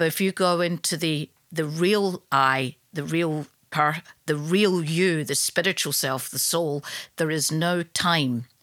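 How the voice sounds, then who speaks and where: At a very slow pace, a woman talks in a very deep, low voice with fairly even intonation, captured in a very clean recording with a silent background. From Scotland, Glasgow. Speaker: yoga teacher. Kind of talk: casual chat.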